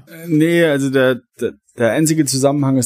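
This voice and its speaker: A man's dark, mellow tone at a fairly slow pace. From Saarland, Germany. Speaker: longtime listener, guest. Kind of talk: casual chat.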